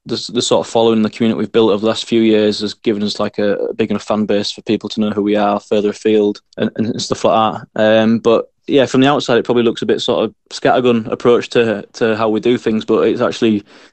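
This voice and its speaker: This man speaks in a Yorkshire accent at a very fast pace with hardly any pauses. His medium-pitched voice stays flat and monotone. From Scarborough, North Yorkshire. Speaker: musician in a local band. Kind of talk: casual interview.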